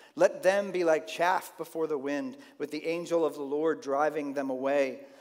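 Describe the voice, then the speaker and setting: A quiet background behind a man speaking at a moderate pace, his pitch varying in an ordinary way. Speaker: pastor. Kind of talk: sermon. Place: church.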